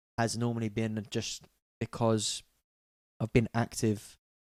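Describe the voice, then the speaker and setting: Quiet speech in a London accent comes at a moderate pace, with a dry, close sound, no echo, and a very clean recording over a silent background. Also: man. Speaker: music producer. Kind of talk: live-stream tutorial. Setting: live stream. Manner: casual, hesitant.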